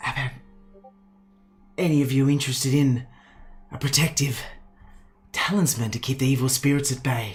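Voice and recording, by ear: Using a put-on character voice that is husky and low-to-middle in pitch, the speaker goes at a moderate pace with long, frequent pauses while faint music plays in the background.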